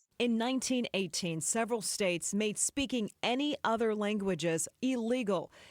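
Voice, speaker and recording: A woman with an unremarkable speaking voice and fairly high pitch talks with ordinary pitch variation, very even loudness and hardly any pauses, in a dry, close sound with no echo on a very clean recording with a silent background. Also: moderate pace. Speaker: TV news anchor / reporter. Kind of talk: TV news report narration.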